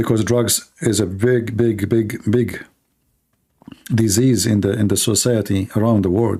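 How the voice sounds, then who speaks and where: Keeping a very even loudness, a man talks at a medium pitch and a fairly slow pace in a dark, mellow tone. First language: not English. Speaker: livestream host, religious debater. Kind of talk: casual livestream monologue. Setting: live stream.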